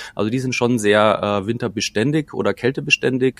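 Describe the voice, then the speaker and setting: At a moderate pace, a man talks with ordinary pitch variation in a dry, close sound with no echo. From Bavaria, Munich Oberland. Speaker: chef and cookbook author. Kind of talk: casual interview. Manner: hesitant with many fillers.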